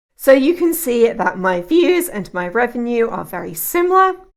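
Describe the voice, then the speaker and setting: On a very clean recording with a silent background, a woman with a British accent speaks fairly slowly in a high pitch with very wide pitch swings. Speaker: YouTube tutorial creator. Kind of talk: tutorial. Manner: calm, measured.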